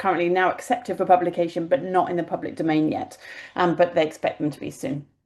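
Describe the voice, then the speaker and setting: A woman speaks with a British accent at a fairly low pitch. The background is quiet. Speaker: infectious disease physician and professor. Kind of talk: webinar presentation; answering a question in a webinar. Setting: video call webinar. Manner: fast.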